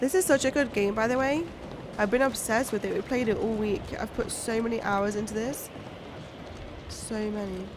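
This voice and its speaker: Over noticeable background noise, a woman with a fairly high pitch speaks at a moderate pace with ordinary pitch variation and long, frequent pauses. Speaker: gaming streamer. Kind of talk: live gaming stream commentary.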